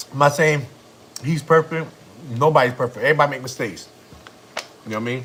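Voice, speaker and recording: A man with a fairly high pitch speaks very fast in an animated tone, with big swings in loudness. Long pauses come often, and there is noticeable background noise. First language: Spanish. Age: 30s. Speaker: family vlogger. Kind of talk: casual chat. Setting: livestream.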